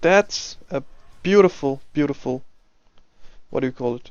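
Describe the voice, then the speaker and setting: This man has a non-native accent. His pitch variation is ordinary. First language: not English. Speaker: game coach and commentator. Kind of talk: replay commentary and coaching. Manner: casual, halting with self-corrections.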